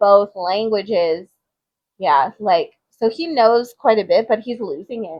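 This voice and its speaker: With an American accent, a woman talks at a fairly slow pace with a fairly high pitch and lively intonation. It's an unremarkable speaking voice, with big swings in loudness. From Texas (Austin). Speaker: podcast co-host, teacher. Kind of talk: casual chat.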